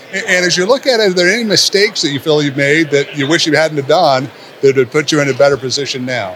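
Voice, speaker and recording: Over noticeable background noise, a man speaks very fast with lively intonation. His pitch sits fairly high. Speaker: podcast host, retirement advisor. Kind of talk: interview. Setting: conference venue.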